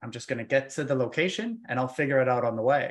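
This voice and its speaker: An unremarkable speaking voice moves at a fairly quick pace. The background is quiet. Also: man. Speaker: podcast host. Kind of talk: casual interview.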